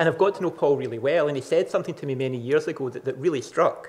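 The voice belongs to a man and is somewhat breathy. Its pitch shifts in an ordinary manner. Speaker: conference presenter. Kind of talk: lecture. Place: hall.

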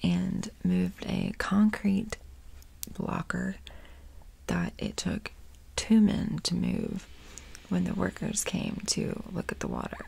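Taking long, frequent pauses, a woman speaks at a very slow pace. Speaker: ASMR creator. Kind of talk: ASMR true crime storytelling and rambling. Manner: casual, chatty. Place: home room. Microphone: earbuds.

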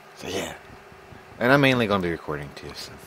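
Noticeable background noise behind very fast talking with ordinary pitch variation. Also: man. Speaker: video game streamer. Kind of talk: casual chat while gaming. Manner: stumbling over words.

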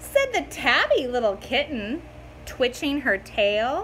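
A woman's high, fairly bright voice, slow in pace, with big pitch swings.

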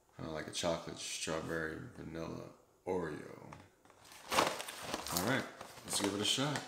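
The voice shows ordinary pitch variation. Loud background noise is present. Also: man, moderate pace. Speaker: food reviewer. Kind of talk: casual product review. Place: kitchen. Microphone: phone near.

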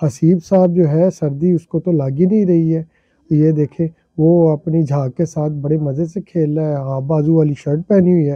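A man's fairly high-pitched voice at a moderate pace, fairly even in intonation, with a dry, close sound and no echo

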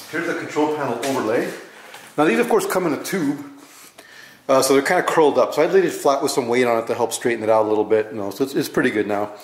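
Audible room echo surrounds a man whose intonation is lively. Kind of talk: casual tutorial vlog. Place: garage.

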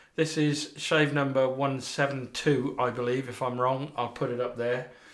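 In a quiet setting, a man is talking. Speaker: shaving video host. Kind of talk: casual vlog chat. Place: bathroom. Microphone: camera far.

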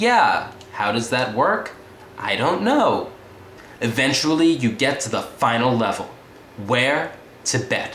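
A man talks at a fairly slow pace. Light background noise and audible room echo are present. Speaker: comedic reviewer. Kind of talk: comedic monologue review. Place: home room. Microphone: webcam.

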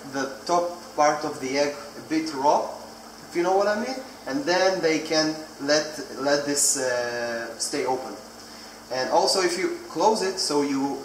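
The recording has audible room echo and light background noise as a man talks at a fairly slow pace. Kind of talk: tutorial. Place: kitchen. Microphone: phone near.

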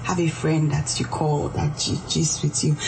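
Over noticeable background noise, a woman with a very deep, low voice speaks at a fairly slow pace. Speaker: organizational psychologist. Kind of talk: radio interview. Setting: studio. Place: studio.

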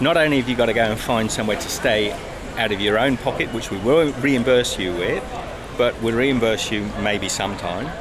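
Music plays in the background as a man speaks. He keeps a moderate pace with ordinary pitch variation. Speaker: travel vlogger. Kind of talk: casual vlog chat. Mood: frustrated, indignant. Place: station. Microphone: phone near.

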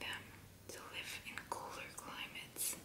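Whispered words come out very slowly. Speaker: ASMR creator. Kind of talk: ASMR fact reading. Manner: soft whispering. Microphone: studio mic.

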